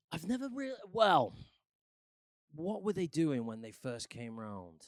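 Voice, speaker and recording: Speaking with a Mancunian accent, a man talks at a fairly slow pace and fairly high pitch. Both his pitch and his loudness swing widely. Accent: mild Mancunian, northern English. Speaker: musician and actor. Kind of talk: casual chat.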